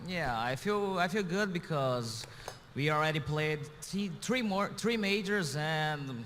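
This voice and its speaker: Speaking fairly slowly, a man with a Portuguese accent has a high-pitched voice. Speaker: pro esports player. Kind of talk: interview. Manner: halting, searching for words.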